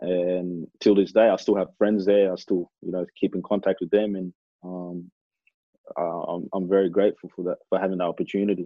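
In an Australian accent, a man with a very deep, low pitch speaks at a moderate pace in a flat monotone. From Australia (Adelaide, then Melbourne), Kenyan-born. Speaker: professional footballer. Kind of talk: casual interview.

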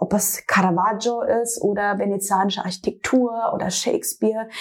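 A woman's fairly high-pitched voice is heard through noticeable background noise. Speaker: fashion designer. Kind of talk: interview. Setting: designer's studio.

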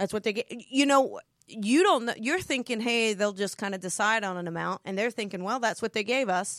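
In a very clean recording with a silent background and a dry, close sound with no echo, a woman with an American accent talks at a fairly quick pace in a fairly high pitch, with an animated tone, ordinary pitch variation and hardly any pauses. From New Jersey. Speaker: author and spiritual business coach. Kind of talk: casual chat about her book. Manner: loud, animated; excitable.

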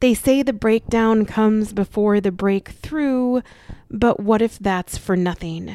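A normal speaking voice moves at a fairly slow pace with ordinary pitch variation. The sound is dry and close, with no echo. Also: woman, fairly high pitch for a woman, very even loudness. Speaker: podcast host and life coach. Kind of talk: spoken word poetry reading, heartfelt. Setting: podcast recording, solo. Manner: intense, emotive, slow and lyrical.

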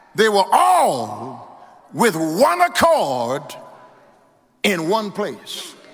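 Audible room echo surrounds a man with an American accent. He talks at a very slow pace. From Louisiana. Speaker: pastor. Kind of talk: sermon. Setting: church. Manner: rhythmic call-and-response preaching, rising in intensity.

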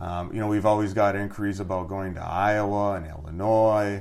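Audible room echo surrounds a man with an Upper Peninsula Michigan accent. He speaks at a moderate pace and a fairly low pitch. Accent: Upper Midwest (Yooper). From Upper Peninsula of Michigan, Iron Mountain. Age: 40s. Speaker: family business owner. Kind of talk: casual interview.

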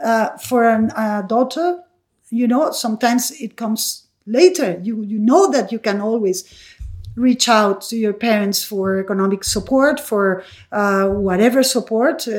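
The speaker has a Spanish accent and talks at a fairly slow pace. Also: woman, fairly high pitch for a woman, ordinary pitch variation. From Venezuela. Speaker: mother of the host. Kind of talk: casual chat. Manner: halting, many repetitions.

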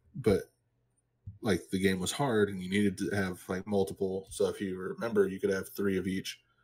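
A man talks in a fairly low voice at a moderate pace. His intonation stays monotone and flat. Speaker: podcast co-host. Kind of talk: casual chat.

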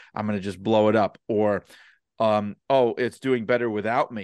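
With a New York accent, a man talks at a fairly low pitch and fairly even intonation. The sound is dry and close with no echo, over a quiet background. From New York City (Brooklyn). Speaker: wrestling author and podcaster. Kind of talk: podcast interview.

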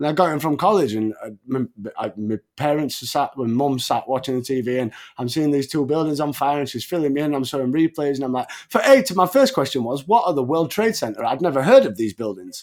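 A man with an English accent, fairly high-pitched, talking at a very fast pace. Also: lively intonation, very clean recording, silent background. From England. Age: 30s. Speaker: wrestling podcast host. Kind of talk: casual chat.

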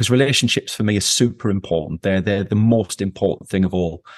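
A man talks with an English accent and fairly even intonation. The sound is dry and close, with no echo. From England. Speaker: company founder. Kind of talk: interview.

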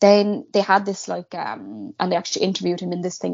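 A woman speaks in a Cork accent. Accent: Cork Irish. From Ireland, Cork. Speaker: guest co-host. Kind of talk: casual chat, true crime storytelling.

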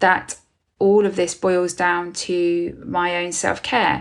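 With a British accent, a woman speaks at a medium pitch. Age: 40s. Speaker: podcast host and business mentor for therapists. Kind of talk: solo podcast monologue. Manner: casual, conversational with fillers.

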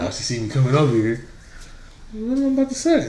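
A man's fairly high, somewhat breathy voice with a dark, mellow tone, very wide pitch swings and a fairly quick pace. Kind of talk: casual chat. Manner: casual, profane.

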